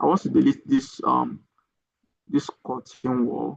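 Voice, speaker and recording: Fairly slow speech with a dry, close sound and no echo. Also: man. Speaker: structural engineering software trainer. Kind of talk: online training tutorial. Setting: live online session. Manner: hesitant, many fillers.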